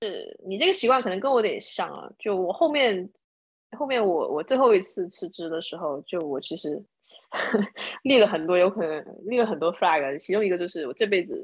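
A woman speaks at a fairly quick pace and a medium pitch. Her pitch swings very widely against a quiet background. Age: 30s. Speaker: former product manager and bar owner. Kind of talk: casual chat.

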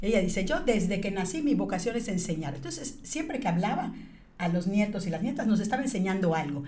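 A woman talks at a fairly quick pace with lively intonation and a medium pitch. Audible room echo and noticeable background noise fill the recording. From Mexico, Yucatán (Mérida). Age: 50s. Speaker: business leader. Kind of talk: interview.

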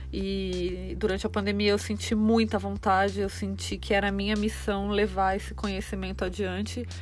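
Over music in the background and audible room echo, a woman with a very deep, low pitch speaks at a moderate pace with lively intonation and hardly any pauses. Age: 30s. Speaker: podcast host, runner and nutrition student. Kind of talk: solo podcast monologue. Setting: home, recording inside a closet.

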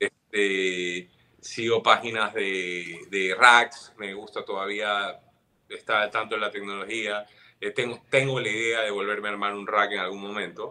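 A man's fairly low, monotone, flat voice with a bright, sharp tone, at a fairly slow pace. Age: 40s. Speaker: guitarist. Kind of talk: casual chat.

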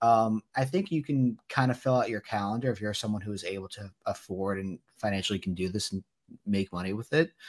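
Over music in the background, a man talks at a fairly quick pace and a fairly low pitch. The sound is dry and close, with no echo. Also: ordinary pitch variation. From New Jersey. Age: 20s. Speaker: sports card dealer. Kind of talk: interview.

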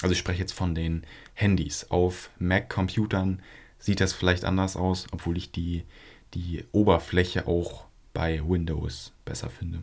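A man with a very deep, low voice speaks in a flat monotone, somewhat breathy. The recording is very clean, with a silent background. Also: fairly slow pace. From northern Germany, Flensburg area. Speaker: podcast co-host. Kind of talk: casual chat.

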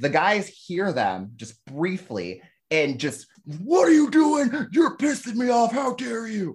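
Very slowly and loudly, a man with a high-pitched voice swings his pitch very widely, recorded very cleanly against a silent background. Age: 30s. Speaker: drag comedy performer. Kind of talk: casual chat. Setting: call.

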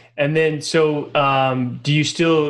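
A man talks with fairly high pitch and fairly even intonation. He has a plain, everyday voice. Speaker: podcast host. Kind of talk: scripted-free interview chat.

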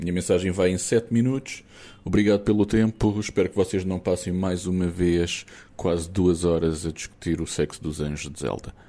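A man's very deep, low voice with a dark, mellow tone, ordinary pitch variation and a moderate pace, on a very clean recording with a silent background. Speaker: listener sending voice message. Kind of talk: recorded voice message. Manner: animated.

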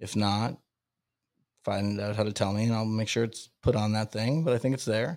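In a very clean recording with a silent background, a man speaks with an American accent. He has a plain, everyday voice, fairly low in pitch, with ordinary pitch variation at a moderate pace. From Massachusetts (Salem). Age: 30s. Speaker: stand-up comedian and podcaster. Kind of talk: casual interview chat.

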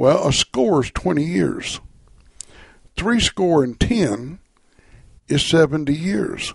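A man with an American accent speaks very slowly, with long, frequent pauses. His pitch is fairly high and swings very widely. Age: 70s. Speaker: radio host and preacher. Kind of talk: radio Bible study program. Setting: live radio studio.

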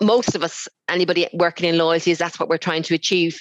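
With an Irish accent, a woman at a medium pitch talks at a very fast pace, the sound dry and close with no echo. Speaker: loyalty awards organiser. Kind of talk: casual interview. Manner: hesitant, many fillers.

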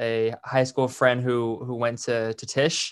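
With a Californian accent, a man talks at a medium pitch. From San Francisco Bay Area. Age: 20s. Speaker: podcast host and rapper. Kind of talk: casual interview chat. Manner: halting, many fillers.

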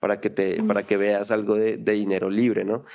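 Recorded very cleanly against a silent background, a man with an unremarkable speaking voice talks fairly quickly in a fairly low pitch. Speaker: podcast host. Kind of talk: casual interview.

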